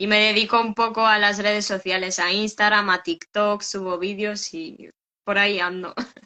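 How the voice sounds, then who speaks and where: With a Ukrainian accent, the speaker talks at a moderate pace in a bright, sharp tone, keeping the intonation fairly even. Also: woman, medium pitch for a woman. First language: Ukrainian (speaking Spanish). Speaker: customer, call center worker. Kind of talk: testimony. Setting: video call live stream.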